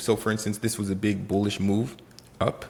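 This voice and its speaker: Speaking with a Haitian accent, this man has a fairly low pitch. His tone is animated. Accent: Haitian Caribbean. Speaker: day trader. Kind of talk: trading tutorial vlog. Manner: casual and animated.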